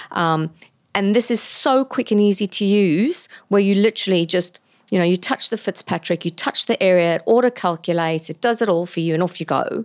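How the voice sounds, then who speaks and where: A woman's unremarkable speaking voice, medium in pitch with ordinary variation, at a fairly quick pace in a dry, close sound with no echo. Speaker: laser clinic owner. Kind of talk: podcast interview. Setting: studio.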